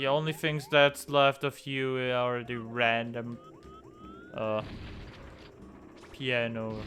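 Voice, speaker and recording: A man with a German accent at a very slow pace, long, frequent pauses and fairly even intonation, music in the background. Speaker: gaming YouTuber. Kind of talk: let's play commentary. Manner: casual, halting at times.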